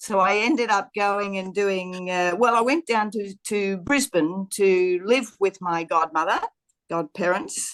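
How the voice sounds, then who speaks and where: The woman has an Australian accent. She talks at a fairly slow pace. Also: medium pitch for a woman, ordinary pitch variation. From Australia, Queensland. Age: 70s. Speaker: podcast guest. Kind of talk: casual interview chat.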